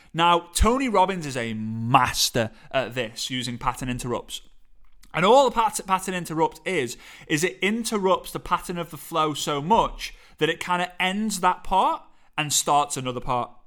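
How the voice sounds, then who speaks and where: Speaking at a moderate pace in a Liverpool accent, the voice has an animated tone and very wide pitch swings. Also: man, high pitch for a man, very clean recording, silent background. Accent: Liverpool (Scouse) English. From England, Liverpool. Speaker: podcast host and motivational speaker. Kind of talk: solo podcast monologue, coaching tips.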